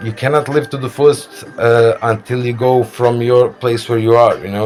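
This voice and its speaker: A man talks at a moderate speed, his intonation fairly even, while noticeable noise runs in the background. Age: 30s. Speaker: vlogger. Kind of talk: casual monologue. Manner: halting, many fillers.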